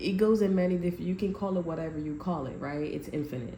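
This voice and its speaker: A woman speaks in a dark, mellow, somewhat breathy voice with ordinary pitch variation. The room gives audible echo. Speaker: tarot reader. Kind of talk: tarot reading to camera. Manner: halting, many restarts.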